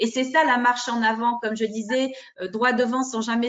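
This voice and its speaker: A woman is speaking here. Her pitch is high and her pace moderate. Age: 60s. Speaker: parent caregiver of daughter with MS. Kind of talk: testimony in group discussion.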